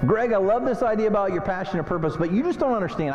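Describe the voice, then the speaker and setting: This man talks very fast. Behind him, music is playing. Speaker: motivational speaker. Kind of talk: keynote speech to an audience.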